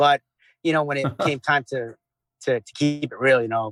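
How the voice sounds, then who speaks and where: Speaking with a New York accent, a man keeps a fairly quick pace and fairly even intonation. The sound is dry and close, with no echo. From Long Island, New York. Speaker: former Navy SEAL, veteran. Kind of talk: interview answer. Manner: casual, conversational.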